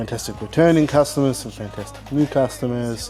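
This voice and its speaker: Music plays behind a man who talks at a fairly quick pace with fairly even intonation. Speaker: online toy reproduction seller. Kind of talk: product showcase. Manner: casual with many fillers.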